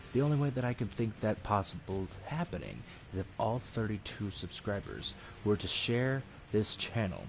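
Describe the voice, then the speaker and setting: A soft-spoken man with a fairly low pitch talks at a moderate pace with ordinary pitch variation. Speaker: gaming streamer. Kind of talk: casual gameplay commentary. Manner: quiet, soft-spoken.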